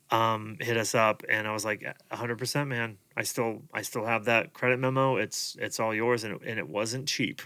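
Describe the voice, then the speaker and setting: Keeping a moderate pace, a man with a medium pitch and a bright, sharp tone speaks with fairly even intonation. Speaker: podcast host and rental business owner. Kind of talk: casual chat. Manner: many fillers and restarts.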